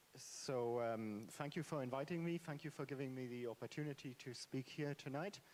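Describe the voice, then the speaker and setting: A man with a non-native accent at a medium pitch, moderate pace, ordinary pitch variation and hardly any pauses. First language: not English. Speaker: author, panel speaker. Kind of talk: panel discussion. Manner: halting, many fillers.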